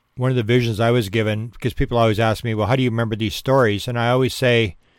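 In a very clean recording with a silent background, a man with a Canadian accent speaks at a medium pitch and a very fast pace. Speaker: podcast host, UFO researcher. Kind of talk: casual monologue.

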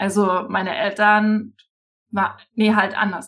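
A woman speaks at a very slow pace. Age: 30s. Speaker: financial coach. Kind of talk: casual interview chat.

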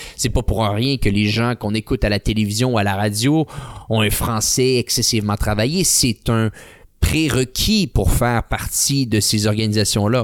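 Recorded dry and close with no echo, a man uses an ordinary speaking voice at medium pitch. His pace is moderate, his intonation fairly even, and his loudness very even. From Quebec City. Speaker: podcast host and online ad agency owner. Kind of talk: interview.

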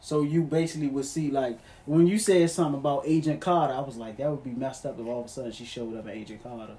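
Amid noticeable background noise, a fairly high-pitched man talks very fast with hardly any pauses and ordinary pitch variation. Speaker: friend on podcast. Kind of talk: casual banter. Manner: animated, loud.

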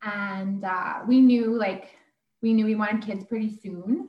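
Fairly high in pitch and somewhat breathy, this is a woman's voice. She speaks in a Canadian prairie accent. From Alberta, Canada (Sherwood Park). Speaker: mother sharing birth story. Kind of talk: interview, personal story.

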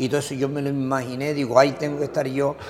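A man speaks at a fairly high pitch. Noticeable background noise runs underneath. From Canary Islands, La Gomera (Agulo). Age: 70s. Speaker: former Olympic boxer. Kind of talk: interview. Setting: hotel.

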